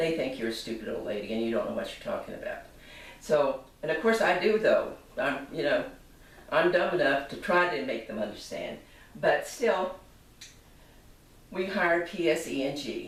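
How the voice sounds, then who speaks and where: At a moderate pace, a woman speaks with long, frequent pauses, amid noticeable background noise and audible room echo. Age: 80s+. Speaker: consumer complaining about appliance. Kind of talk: personal testimony to camera. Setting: home kitchen. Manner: halting, self-correcting.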